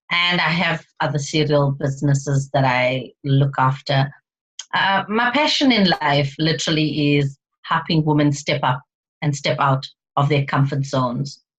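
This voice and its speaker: A woman's somewhat breathy, very deep and low voice at a fairly slow pace, with very even loudness. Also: ordinary pitch variation. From South Africa, Indian background. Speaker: speaker and mindset coach. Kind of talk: interview. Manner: animated.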